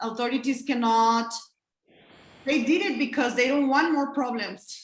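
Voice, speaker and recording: A woman with a Spanish accent speaks at a high pitch with fairly even intonation. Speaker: abortion rights activist. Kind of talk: panel discussion. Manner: halting.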